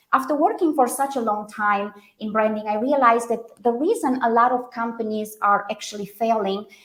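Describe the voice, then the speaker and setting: A woman with a Romanian accent, fairly high in pitch, moving at a fairly quick pace with ordinary pitch variation. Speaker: branding consultant. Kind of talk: podcast interview.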